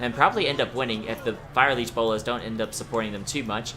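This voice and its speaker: Over noticeable background noise, a man talks at a very fast pace with a medium pitch. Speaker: video game commentator. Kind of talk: gameplay commentary. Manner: casual, conversational.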